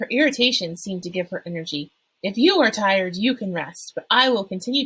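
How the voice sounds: The background stays quiet. The speaker has a natural reading voice.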